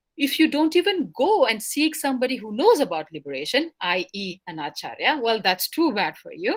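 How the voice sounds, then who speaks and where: A woman's high-pitched voice moves through very wide pitch swings. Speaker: scholar giving a lecture. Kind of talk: lecture. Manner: fast; halting, many fillers.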